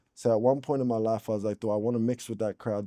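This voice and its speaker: A man's fairly low voice with an American accent, flat and monotone, against a quiet background. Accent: American-sounding rap. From Australia, Brisbane south side. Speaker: rapper. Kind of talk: casual interview chat. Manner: talkative, slangy.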